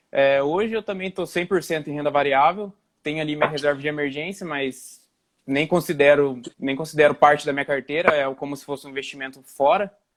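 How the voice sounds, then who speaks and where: A man talks at a fairly quick pace in a fairly high pitch, his intonation fairly even. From Brazil, interior of São Paulo state. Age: 20s. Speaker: investment YouTuber. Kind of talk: casual livestream conversation. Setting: live stream video call. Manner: halting, many restarts.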